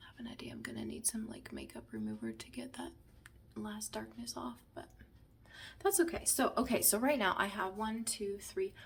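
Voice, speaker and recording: Moderately paced female speech over noticeable background noise. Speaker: makeup tutorial creator, beauty consultant. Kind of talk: tutorial. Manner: casual, chatty.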